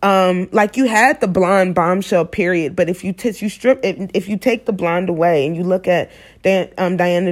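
On a very clean recording with a silent background, a woman speaks at a medium pitch. She has a plain, everyday voice. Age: 20s. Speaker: podcast host. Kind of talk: solo monologue podcast. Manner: casual, filler-heavy.

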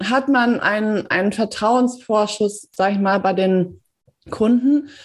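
Heard in a very clean recording with a silent background, a woman has a normal speaking voice with a fairly high pitch and ordinary pitch variation. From Germany, Paderborn. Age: 30s. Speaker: PR consultant and editor. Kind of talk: interview.

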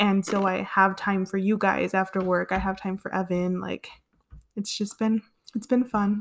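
On a very clean recording with a silent background, a woman speaks with an American accent. Her medium-pitched voice is monotone, with flat intonation. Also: moderate pace. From Southern California, Los Angeles area. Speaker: podcast co-host. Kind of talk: casual chat.

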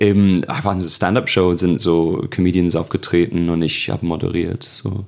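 The intonation is fairly even at a moderate pace. There are hardly any pauses. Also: man, very deep, low pitch for a man. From northwest England, Birkenhead near Liverpool. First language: English (speaking German). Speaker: comedian. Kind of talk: casual chat.

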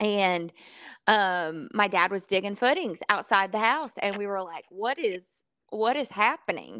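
A woman with a Southern US accent speaks fairly slowly at a medium pitch. Her tone is bright and sharp, and her intonation is lively. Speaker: country singer-songwriter. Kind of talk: casual chat.

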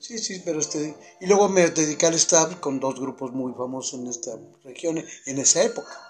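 A man talks at a moderate pace in a fairly high pitch, with lively intonation and music playing in the background. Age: 70s. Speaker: retired navy veteran and former stage crew. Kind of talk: casual chat.

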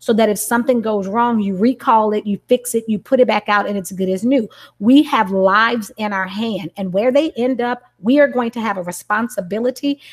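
In a dry, close sound with no echo, a woman with an unremarkable speaking voice talks at a moderate pace, fairly high in pitch, with hardly any pauses. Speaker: educator and parent. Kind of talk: video-call book study discussion.

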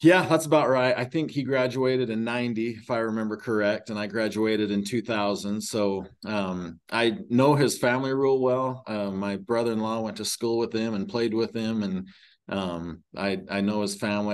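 A man's fairly low voice in a Utah accent at a moderate pace, with hardly any pauses, ordinary pitch variation and a quiet background. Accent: rural Utah American. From rural Utah (Emery County). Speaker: high school athletic director. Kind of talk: interview. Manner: halting, many fillers.

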